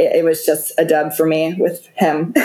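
A woman with a normal speaking voice talks at a fairly slow pace and a fairly low pitch. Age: 20s. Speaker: reality TV contestant. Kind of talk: casual chat.

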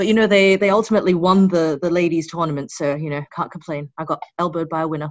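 Hardly any pauses break up this very fast speech. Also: woman, fairly low pitch for a woman. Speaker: amateur Gaelic football player.

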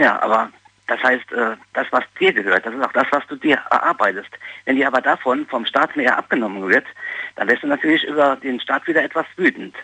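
A fairly high-pitched man with a bright, sharp tone speaks at a fairly quick pace, with a dry, close sound and no echo. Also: ordinary pitch variation. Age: 40s. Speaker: caller. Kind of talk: phone-in opinion. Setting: phone call.

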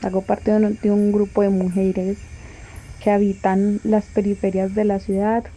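A woman talks at a medium pitch and moderate pace in a dark, mellow tone. Her intonation is monotone and flat, her loudness very even. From Colombia. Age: 20s. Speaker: feminist activist. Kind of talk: personal testimony.

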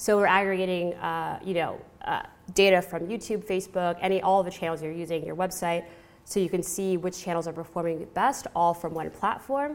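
With an American accent, a woman talks at a fairly quick pace and medium pitch with fairly even intonation. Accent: American, non-British. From California. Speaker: marketing professional. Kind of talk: conference talk. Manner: hesitant, many fillers.

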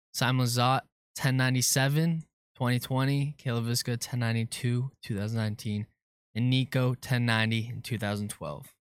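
In a normal speaking voice, a man talks at a fairly quick pace with medium pitch and fairly even intonation, on a very clean recording with a silent background and a dry, close sound with no echo. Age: 20s. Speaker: intern producer. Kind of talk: quiz hosting.

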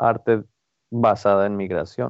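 A man's intonation stays fairly even as he talks very slowly. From Mexico-US border, Ciudad Juárez and El Paso. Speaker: printmaker and art student. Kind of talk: interview. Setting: at home. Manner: halting, many fillers.

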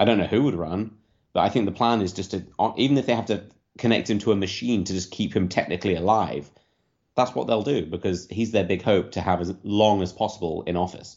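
A man's very fast voice with a British accent, fairly low in pitch, with ordinary pitch variation. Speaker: political commentator. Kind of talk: casual chat.

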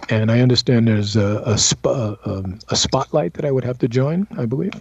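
This man talks at a moderate pace with an American accent and a medium pitch. His voice is somewhat breathy, with ordinary variation in pitch. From US Northeast, Brooklyn. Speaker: actor. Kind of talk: interview.

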